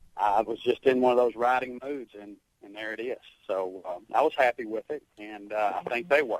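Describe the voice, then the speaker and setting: Dry, close sound with no echo, a man of medium pitch with a slight Southern US accent, at a moderate pace, with ordinary pitch variation and big swings in loudness. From Arkansas. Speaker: songwriter and military veteran. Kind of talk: radio interview. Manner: halting.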